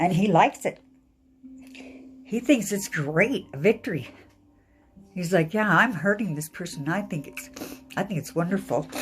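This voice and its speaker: A woman at a moderate pace, lively intonation, big swings in loudness and long, frequent pauses, music in the background. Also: medium pitch for a woman. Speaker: tarot card reader. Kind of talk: casual talk to camera. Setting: living room at home.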